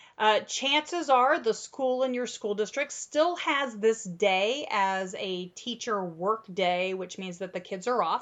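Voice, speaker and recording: A woman with an American accent speaks in a normal speaking voice at a medium pitch, her intonation lively. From US Midwest. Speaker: childcare training podcast host. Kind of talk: casual chat.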